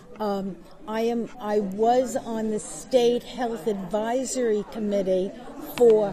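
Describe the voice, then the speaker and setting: Amid crowd noise and audible room echo, a woman with a fairly high pitch speaks very slowly, with ordinary pitch variation. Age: 70s. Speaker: electrologist. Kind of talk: interview. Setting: convention.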